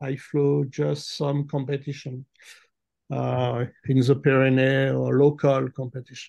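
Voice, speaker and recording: A man with a French accent at a fairly slow pace. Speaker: glider pilot. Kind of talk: interview. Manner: halting.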